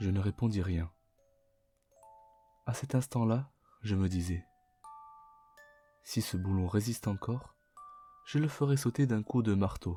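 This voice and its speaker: Music plays in the background as the speaker moves at a fairly slow pace with long, frequent pauses. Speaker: Vtuber language teacher reading aloud. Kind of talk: audiobook-style reading for sleep.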